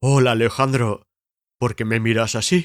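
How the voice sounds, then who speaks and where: This man puts on a character voice. His pitch sits at medium. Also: very clean recording, silent background. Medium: read story. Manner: slow, dopey.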